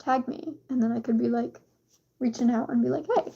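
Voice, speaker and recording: A dark, mellow tone at a fairly quick pace. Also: woman. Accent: American. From USA. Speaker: streamer. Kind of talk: casual chat. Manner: animated.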